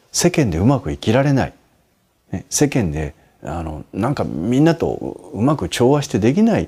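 Vocal fry colors this man's dark, mellow tone, and his pitch swings very wide. The recording is very clean, with a silent background. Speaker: Buddhist monk answering listener questions. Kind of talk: advice talk.

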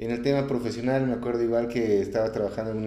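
This man's dark, mellow tone and monotone, flat intonation carry audible room echo. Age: 30s. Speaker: personal development course graduate, sales worker. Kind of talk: interview.

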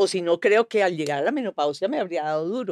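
Here is a woman with an ordinary speaking voice, fairly low in pitch with ordinary pitch variation, moving at a fairly quick pace. The recording is very clean with a silent background and a dry, close sound with no echo. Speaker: actress. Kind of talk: casual chat.

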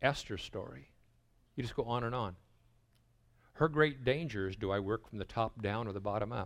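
At a moderate pace and a medium pitch, a man talks in an animated tone with ordinary pitch variation and long, frequent pauses, on a very clean recording with a silent background. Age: 60s. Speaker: pastor. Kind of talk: sermon. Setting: stage with audience.

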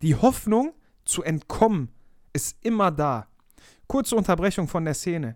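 The speaker has an animated tone and a moderate pace. The recording is very clean, with a silent background. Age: 20s. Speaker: life coach podcaster. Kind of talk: motivational monologue.

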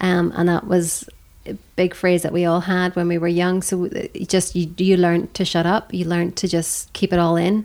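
This woman's voice is fairly low in pitch. She speaks at a moderate pace with monotone, flat intonation. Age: 40s. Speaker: abuse survivor. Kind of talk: testimony.

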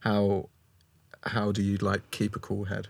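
A man with a British accent speaks in a fairly low pitch. The recording is very clean, with a silent background. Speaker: podcast host. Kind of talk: interview. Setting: studio.

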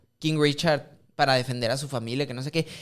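In a very clean recording with a silent background, a man talks with a Mexican accent. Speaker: podcast co-host. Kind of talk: casual chat.

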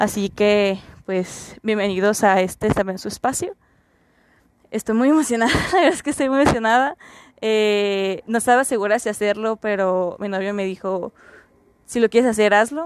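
Her fairly high pitch shows ordinary variation as the woman talks at a moderate pace. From Mexico, Mexicali, Baja California. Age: 20s. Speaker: podcast host, psychology student. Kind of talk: casual monologue.

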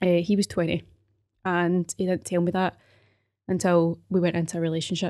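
A woman with a Glaswegian accent speaks at a fairly quick pace in a fairly low pitch, her tone dark and mellow against a quiet background. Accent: Glaswegian Scottish. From Scotland, Glasgow (Govan/Paisley). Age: 20s. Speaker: podcast host, personal trainer. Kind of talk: personal testimony monologue. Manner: hesitant, many fillers.

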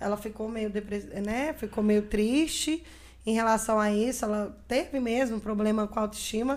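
The woman has an unremarkable speaking voice, fairly high in pitch, with fairly even intonation at a moderate pace. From Brazil, Minas Gerais and Brasília. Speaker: podcast guest with alopecia. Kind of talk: casual interview chat.

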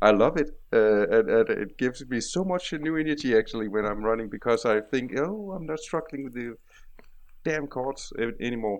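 A man with a Danish accent talks at a moderate pace with lively intonation. The background is quiet. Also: medium pitch for a man. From Denmark. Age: 40s. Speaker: IT consultant. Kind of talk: casual interview. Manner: halting.

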